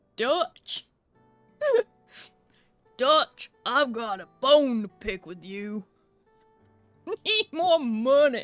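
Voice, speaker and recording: In a put-on character voice, a female-sounding speaker talks at a high pitch and very slow pace with long, frequent pauses over faint music in the background. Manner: demanding, confrontational.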